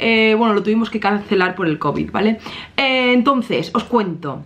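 A woman is talking. Her pace is moderate. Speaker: vlogger. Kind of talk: casual vlog chat. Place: home room.

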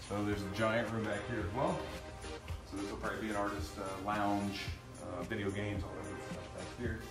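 Clear music sits in the background as a man talks. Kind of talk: casual walking tour commentary. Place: factory. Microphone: camera far.

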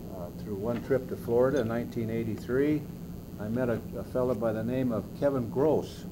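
Noticeable background noise surrounds a man speaking at a moderate pace. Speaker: interviewee. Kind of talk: interview answer. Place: meeting room. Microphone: old recording.

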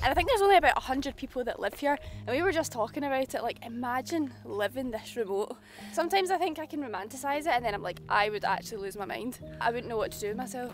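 A high-pitched woman's voice at a very fast pace, dry with no echo, faint music behind it. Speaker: travel vlogger. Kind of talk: casual vlog chat. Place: open country.

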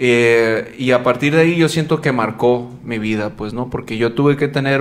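This man's voice sits at a medium pitch with fairly even intonation. He keeps a moderate pace. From Guaymas, Sonora, Mexico (childhood years in Las Vegas). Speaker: popping dancer and podcast host. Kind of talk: casual chat. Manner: halting, many fillers.

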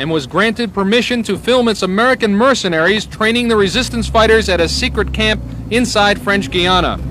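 A man with a high voice speaks in a serious tone amid noticeable background noise. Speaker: TV news reporter. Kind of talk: 1980s TV news report narration. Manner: formal, measured, steady broadcast delivery; authoritative, even-paced, serious.

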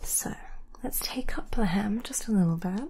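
Soft-spoken and gentle in tone, a woman talks at a moderate pace. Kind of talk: roleplay talk to viewer. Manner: soft-spoken, gentle ASMR voice. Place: home room.

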